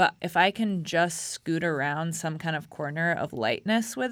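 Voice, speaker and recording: Over a silent background in a very clean recording, a woman with an ordinary speaking voice talks at a moderate pace, her fairly low pitch carried by lively intonation. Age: 30s. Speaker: writer and dancer. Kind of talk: interview. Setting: studio.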